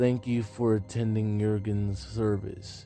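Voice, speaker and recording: Putting on a gruff character voice, a man talks at a fairly slow pace and fairly low pitch with fairly even intonation while clear music plays in the background. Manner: soft-spoken.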